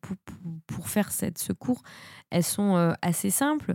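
Recorded very cleanly against a silent background, a woman with a dark, mellow tone and medium pitch talks at a fairly slow pace, the sound dry and close with no echo. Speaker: film podcaster. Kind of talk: solo podcast film review. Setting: home studio. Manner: hesitant, many fillers.

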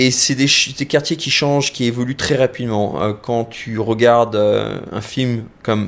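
With fairly even intonation, a man at medium pitch delivers his words at a very slow pace. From France. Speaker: visual effects professional. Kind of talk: casual interview.

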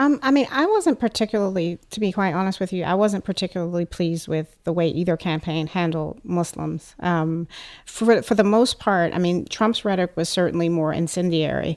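On a very clean recording with a silent background, a woman with an American accent and an unremarkable speaking voice talks at a fairly quick pace with a fairly low pitch. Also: ordinary pitch variation, hardly any pauses. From United States. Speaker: writer and PhD candidate. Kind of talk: group discussion. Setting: studio.

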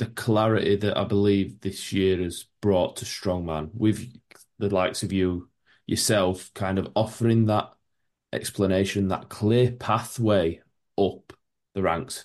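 Against a quiet background, a man with a Yorkshire accent speaks at a fairly slow pace, his fairly low pitch holding fairly even intonation. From Yorkshire, England. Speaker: podcast host. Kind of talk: casual interview.

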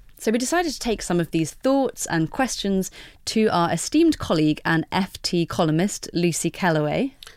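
Delivered at a moderate pace with lively intonation, an ordinary speaking voice comes through on a very clean recording with a silent background. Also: woman, medium pitch for a woman, very even loudness. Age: 30s. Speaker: podcast host. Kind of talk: casual chat. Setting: studio.

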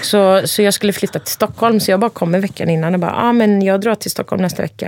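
A woman of medium pitch talks at a fairly quick pace with ordinary pitch variation, in a dry, close sound with no echo but noticeable background noise. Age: 40s. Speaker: podcast guest. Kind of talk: casual chat.

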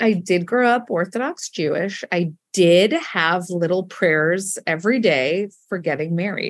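A woman with a normal speaking voice talks at a fairly slow pace and a medium pitch, with ordinary pitch variation and hardly any pauses. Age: 40s. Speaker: comedy writer and storyteller. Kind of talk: casual chat.

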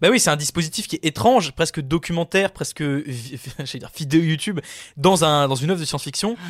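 Speaking fairly quickly, a man with a fairly high pitch and ordinary pitch variation is heard in a dry, close sound with no echo. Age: 20s. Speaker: podcast film columnist. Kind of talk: casual chat.

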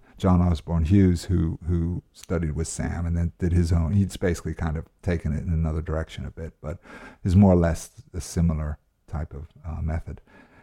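The voice moves at a fairly quick pace, somewhat breathy and dark, mellow in tone, with monotone, flat intonation. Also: man, very deep, low pitch for a man. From United States (born in Wales). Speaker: actor. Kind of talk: casual interview chat.

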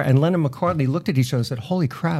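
A man speaks in a dark, mellow tone that is somewhat breathy. His pitch varies in an ordinary way. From Long Island, New York. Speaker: radio personality. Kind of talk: casual interview chat.

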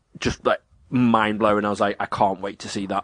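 A man talks at a fairly quick pace with an English accent. His intonation is monotone and flat. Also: dry, close sound with no echo. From England. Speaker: podcast co-host. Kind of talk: casual chat.

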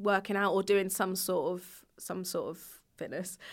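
A woman with a medium pitch speaks in an English accent at a moderate pace. The recording is very clean, with a silent background. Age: 30s. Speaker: YouTuber. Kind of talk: casual chat.

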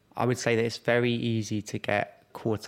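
A man speaks with a London accent. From South East London. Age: 20s. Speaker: startup founder. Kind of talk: interview.

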